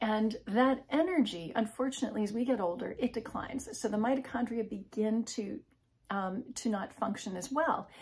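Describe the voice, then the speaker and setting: At a moderate pace, a woman speaks with a fairly high pitch and ordinary pitch variation. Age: 50s. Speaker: health and wellness video creator; wellness video creator. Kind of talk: informal educational talk to camera. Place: home room. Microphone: phone near.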